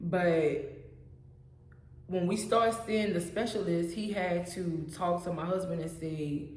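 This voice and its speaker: There is audible room echo as a woman talks at a fairly slow pace. Her pitch is fairly low and her intonation fairly even. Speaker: vlogger sharing health story. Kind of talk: personal testimony. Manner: mumbles words at times.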